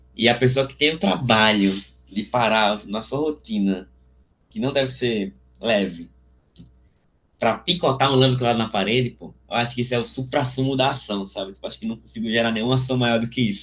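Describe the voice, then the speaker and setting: A man uses a normal speaking voice at a medium pitch, with ordinary pitch variation and a moderate pace. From Alagoas, Brazil. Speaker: visual artist. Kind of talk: interview answer. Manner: casual, slangy.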